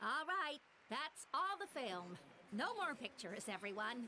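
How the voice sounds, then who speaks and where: A female-sounding, put-on character voice, high in pitch and upbeat, swings very widely in pitch at a moderate pace over clear background noise. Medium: video game. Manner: upbeat, bustling.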